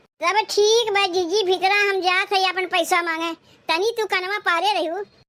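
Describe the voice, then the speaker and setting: In a cartoonish character voice, a woman squeaks out her words at an extremely high pitch, moving at a moderate pace with a monotone, flat intonation. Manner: shrill, persistent.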